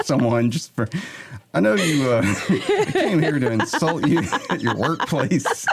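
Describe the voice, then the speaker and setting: Speaking with an American accent, a man uses lively intonation at a fairly high pitch. He goes at a fairly slow pace over noticeable background noise. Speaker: podcast host. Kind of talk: casual chat. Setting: radio station studio. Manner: quiet.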